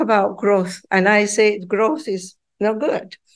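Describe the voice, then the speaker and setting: Someone speaks with a Spanish accent against a quiet background. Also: woman. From Peru. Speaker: professor. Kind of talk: interview.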